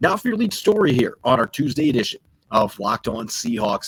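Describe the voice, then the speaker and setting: Somewhat breathy, a man speaks at a moderate pace with lively intonation. The sound is dry and close, with no echo. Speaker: sports podcast host. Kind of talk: sports podcast discussion. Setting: remote recording while travelling.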